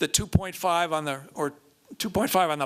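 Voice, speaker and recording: A man's high-pitched voice with a bright, sharp tone and fairly even intonation. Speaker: climate policy advisor. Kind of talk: lecture. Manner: fast; halting, many fillers.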